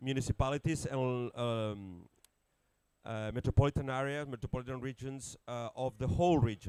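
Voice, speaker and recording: At a moderate pace, the speaker uses ordinary pitch variation and a dark, mellow tone in a Catalan accent. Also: man. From Catalonia, Spain. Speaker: city network leader, environmentalist. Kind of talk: conference panel talk. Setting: conference pavilion with audience. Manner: halting.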